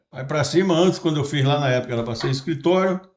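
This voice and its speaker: The voice is somewhat breathy with lively intonation. Its pace is very fast. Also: man. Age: 70s. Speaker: podcast host and businessman. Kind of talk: casual podcast conversation.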